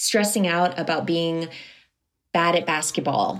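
At a moderate pace, a woman of medium pitch talks in an ordinary speaking voice. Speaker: musician and life coach. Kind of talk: interview.

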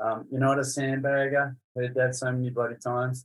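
Speaking at a moderate pace, a man with an Australian accent uses a medium pitch and a monotone, flat intonation. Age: 50s. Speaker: tennis coach. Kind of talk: casual interview chat.

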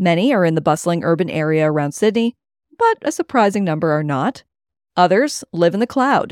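A woman with a Cape Breton accent, medium pitch, very wide pitch swings and a fairly quick pace, in a dry, close sound with no echo. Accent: Cape Breton Canadian. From Nova Scotia, Cape Breton (Richmond County, Acadian community). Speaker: podcast host and producer. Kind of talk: scripted narration with interview questions.

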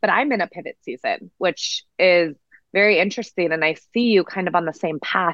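Over a quiet background, a woman with medium pitch speaks at a fairly quick pace with ordinary pitch variation, the sound dry and close with no echo. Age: 30s. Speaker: breathwork coach. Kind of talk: interview. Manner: fast, animated.

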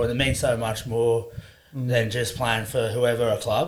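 With noticeable noise behind him, a man in an Australian accent speaks at medium pitch with monotone, flat intonation. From Queensland, Sunshine Coast. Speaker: rugby league player. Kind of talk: casual chat.

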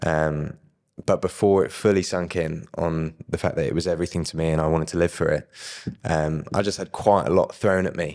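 Over a silent background in a very clean recording, a man with a very deep, low voice talks at a fairly quick pace. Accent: southern English. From southern England. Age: young. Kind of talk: testimony. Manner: animated.

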